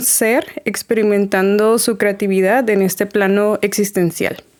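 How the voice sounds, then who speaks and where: Speaking very slowly, a woman keeps to a medium pitch. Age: 30s. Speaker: spiritual community organizer. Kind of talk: casual interview.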